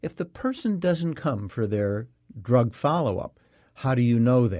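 The voice has a dark, mellow tone and moves at a moderate pace over a quiet background. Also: man. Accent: American. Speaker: radio host and physician. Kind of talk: interview.

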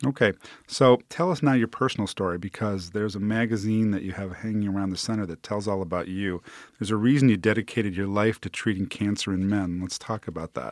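A man at a very fast pace, fairly low in pitch with ordinary pitch variation, dry and close with no echo, on a very clean recording against a silent background. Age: 50s. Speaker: physician radio host. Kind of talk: interview. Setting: studio.

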